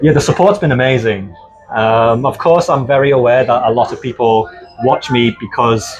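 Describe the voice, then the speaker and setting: Music plays in the background as the speaker talks with a Liverpool accent. The pace is moderate and the pitch varies in an ordinary way. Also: man. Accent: full British (Liverpool). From northern England, Liverpool. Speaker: cruise ship casino host and vlogger. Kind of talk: casual interview chat.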